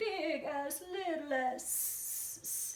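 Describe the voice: Someone performs a put-on character voice. A slight echo can be heard. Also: female-sounding voice, high pitch for a woman.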